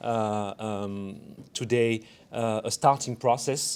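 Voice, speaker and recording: A man with a French accent and fairly even intonation. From France. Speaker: architect and urban designer. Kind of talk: design presentation to community. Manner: halting, many fillers.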